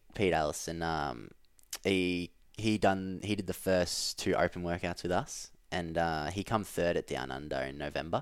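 Speaking with an Australian accent, a man shows ordinary pitch variation. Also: very clean recording, silent background. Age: 20s. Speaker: elite CrossFit athlete. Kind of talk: casual chat.

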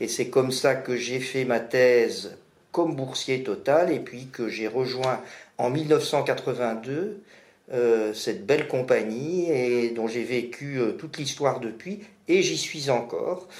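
A man speaks at a very slow pace and medium pitch, with ordinary pitch variation. Room echo is audible. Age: 60s. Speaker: energy expert. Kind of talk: expert interview.

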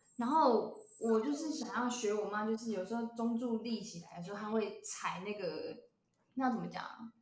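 A woman speaks at a fairly high pitch. The room echo is audible. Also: ordinary pitch variation, moderate pace. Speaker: podcast co-host. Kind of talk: casual chat.

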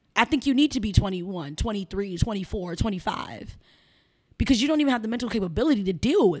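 Speaking here is a woman with an American accent. Her pitch is fairly high. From Chicago south side. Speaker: sex worker and businesswoman. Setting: studio.

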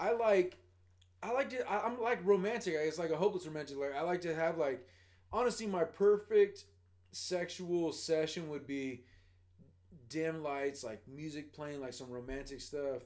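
In a normal speaking voice, a man talks at a moderate pace and fairly high pitch, with lively intonation and big swings in loudness. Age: 30s. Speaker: podcast guest. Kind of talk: casual chat.

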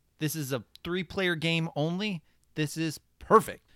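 Fairly high in pitch, a man speaks with a bright, sharp tone. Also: very clean recording, silent background. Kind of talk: infomercial-style mock sales pitch, playful carnival-barker spiel.

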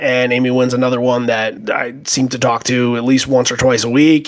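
This man sounds enthusiastic, talking at a moderate pace with a medium pitch. Noticeable background noise runs underneath. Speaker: podcast host. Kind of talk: casual podcast chat.

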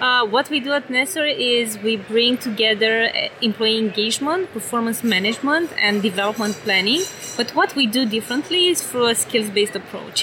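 A woman with a Romanian accent speaks at a moderate pace in a fairly high voice with lively intonation. Noticeable background noise can be heard. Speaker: tech company executive. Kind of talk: interview. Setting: conference booth.

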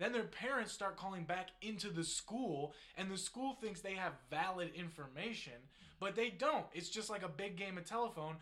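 This man has an American accent and a high pitch, with a bright, sharp tone. He moves at a fairly quick pace with ordinary pitch variation. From northeast Ohio. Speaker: podcast co-host. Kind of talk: casual chat.

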